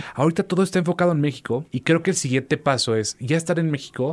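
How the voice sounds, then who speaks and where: Someone speaks at a very fast pace with lively intonation. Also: man. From Mexico, Veracruz. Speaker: musician. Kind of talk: interview. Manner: hesitant repetitions, fillers.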